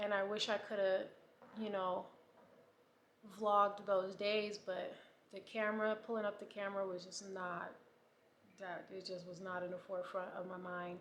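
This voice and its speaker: At a moderate pace, the speaker delivers a monotone, flat line broken by long, frequent pauses, with audible room echo. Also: woman, medium pitch for a woman. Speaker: vlogger with breast cancer. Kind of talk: casual vlog diary.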